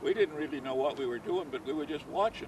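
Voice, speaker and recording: Ordinary pitch variation and a moderate pace from a man with a fairly high voice, plus noticeable background noise. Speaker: bocce league founder. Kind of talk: interview. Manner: halting.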